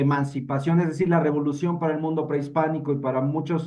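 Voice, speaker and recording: A man speaks in a Mexico City accent with monotone, flat intonation. Audible room echo surrounds the voice. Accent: Mexican Spanish (Mexico City). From Mexico City, Mexico. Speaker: participant in a literary discussion. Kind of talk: panel discussion. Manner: halting, many fillers and repetitions.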